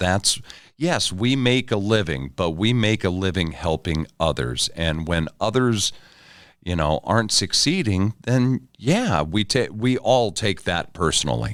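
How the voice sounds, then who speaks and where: This is an unremarkable speaking voice, a man with a fairly low pitch and lively intonation at a fairly slow pace. His loudness stays very even in a very clean recording with a silent background. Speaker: podcast host. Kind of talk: podcast interview conversation.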